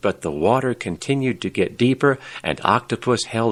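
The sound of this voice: The intonation stays fairly even in an unforced reading voice.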